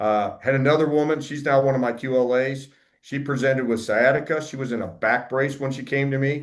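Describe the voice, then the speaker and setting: A man in a normal speaking voice, medium pitch, fairly quick pace and fairly even intonation, over a quiet background. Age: 50s. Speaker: wellness practitioner, army veteran. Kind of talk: presentation. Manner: conversational, with fillers.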